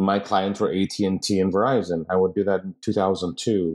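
In a plain, everyday voice, a man with a fairly low pitch speaks at a moderate pace against a quiet background. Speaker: company founder and COO. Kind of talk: casual interview chat.

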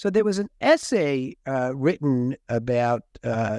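Against a quiet background, a man with an American accent talks at a fairly slow pace and a medium pitch, his intonation lively. He has an ordinary speaking voice, and the sound is dry and close with no echo. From United States. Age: 60s. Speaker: podcast host. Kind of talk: interview.

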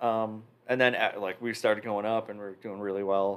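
A man speaks with an American accent at a moderate pace. His pitch is fairly low. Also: very clean recording, silent background. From Chicago area, Illinois. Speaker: drummer. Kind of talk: casual chat.

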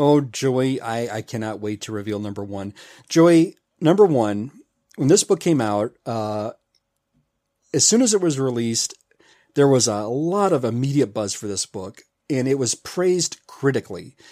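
With an American accent and a dark, mellow tone, a man speaks at a medium pitch and moderate pace with lively intonation and long, frequent pauses, the sound dry and close with no echo on a very clean recording with a silent background. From Memphis, Tennessee, US South. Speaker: comic book enthusiast podcaster. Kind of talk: casual chat. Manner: animated.

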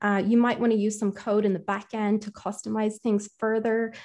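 A dark, mellow tone with an Irish accent against a quiet background. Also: woman. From Ireland. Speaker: conversational AI engineer and linguist. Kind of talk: interview conversation.

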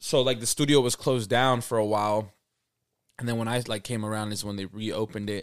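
Using a plain, everyday voice, a man with an American accent talks at a fairly quick pace and medium pitch with fairly even intonation, on a very clean recording with a silent background. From Salt Lake City, Utah, US; Mexican parents. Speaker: musician. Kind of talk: casual chat.

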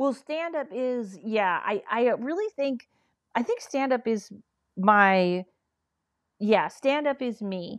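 Over a quiet background, a woman with a fairly high pitch and lively intonation talks very slowly, leaving long, frequent pauses. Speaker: comedian and paranormal investigator. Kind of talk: casual interview chat.

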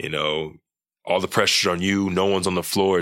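With an American accent, a man talks at a fairly quick pace in a bright, sharp tone and monotone, flat intonation. The recording is very clean, with a silent background. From Texas, Dallas area. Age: 20s. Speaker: NBA player. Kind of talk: casual interview chat. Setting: studio.

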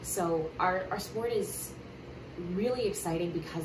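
In an American accent, a woman speaks amid noticeable background noise and audible room echo. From Maryland. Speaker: college lacrosse coach. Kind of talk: interview.

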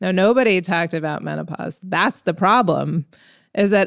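A woman talks at a moderate pace. The sound is dry and close with no echo, in a very clean recording with a silent background. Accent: New York. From New York City. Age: 40s. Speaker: entrepreneur. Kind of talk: interview.

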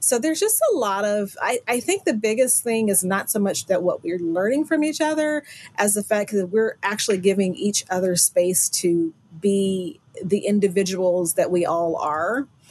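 Her pitch is medium and her pace moderate, with lively intonation. This woman has a normal speaking voice. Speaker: quilter and teacher. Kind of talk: casual interview.

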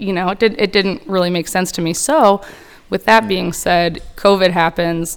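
At a moderate pace, an unremarkable speaking voice carries ordinary pitch variation. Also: woman. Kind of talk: casual chat.

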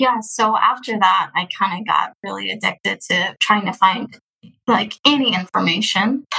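Speaking at a fairly slow pace, a woman has an ordinary speaking voice with a fairly high pitch. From Texas. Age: 20s. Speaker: adoptee sharing her story. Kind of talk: interview.

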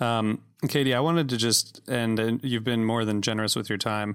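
A man's unremarkable speaking voice at medium pitch, with a fairly quick pace and fairly even intonation. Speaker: podcast host. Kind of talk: casual interview.

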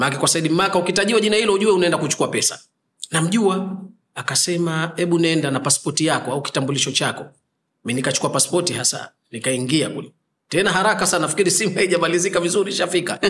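This man talks at a very fast pace. His pitch is high, with ordinary variation. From Zanzibar. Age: 40s. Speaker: Islamic healer and preacher. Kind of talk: interview.

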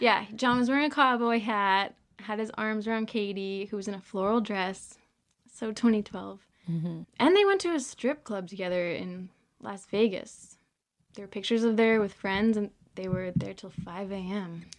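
A woman talks in a normal speaking voice at medium pitch and moderate pace, with ordinary pitch variation. Her loudness swings widely, and the background is quiet. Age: 20s. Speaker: podcast host. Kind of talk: casual chat.

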